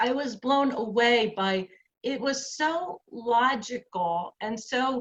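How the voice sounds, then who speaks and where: Speaking at a very slow pace, a woman with a New Jersey accent has a high pitch and lively intonation. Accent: New Jersey American English. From New Jersey, USA. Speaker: activist, author and columnist. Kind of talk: personal lecture talk.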